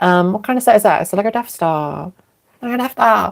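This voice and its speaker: A woman with a British accent talks at a moderate pace and a medium pitch, with ordinary pitch variation. The sound is dry and close, with no echo. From England. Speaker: live streamer. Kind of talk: casual livestream chat. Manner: hesitant, many fillers.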